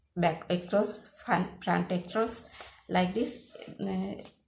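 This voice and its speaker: A woman with a Sri Lankan accent at a very slow pace. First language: Sinhala. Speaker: sewing teacher. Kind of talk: tutorial. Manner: halting, many fillers.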